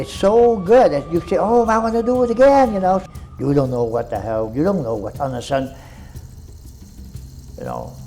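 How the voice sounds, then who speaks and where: Against noticeable background noise, a man with a Vietnamese accent and high pitch speaks with very wide pitch swings and long, frequent pauses. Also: moderate pace. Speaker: war veteran. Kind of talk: interview answer.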